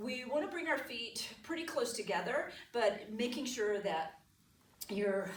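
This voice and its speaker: Noticeable background noise and audible room echo surround this recording. A woman speaks fairly slowly with lively intonation. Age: 60s. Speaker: yoga teacher. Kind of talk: guided yoga instruction.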